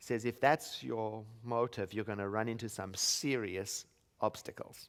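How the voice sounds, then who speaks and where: A man's medium-pitched voice, with ordinary rise and fall, keeps a moderate speed. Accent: non-native. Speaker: minister. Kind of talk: sermon.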